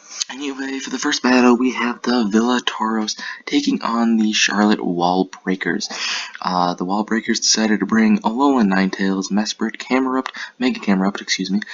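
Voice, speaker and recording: His delivery is moderately paced. The man's voice is medium in pitch. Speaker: Pokemon battle league commentator. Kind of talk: recap commentary. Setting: apartment room. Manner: quiet, keeping voice down.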